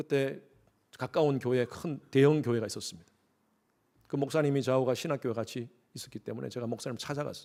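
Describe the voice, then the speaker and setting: Long, frequent pauses break up a man's fairly quick delivery. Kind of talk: sermon.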